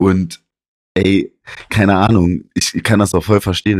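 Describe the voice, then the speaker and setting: Against a silent background, a man's voice comes through on a very clean recording. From Saarland, village near Saarbrücken. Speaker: podcast co-host. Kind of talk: casual chat. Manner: animated.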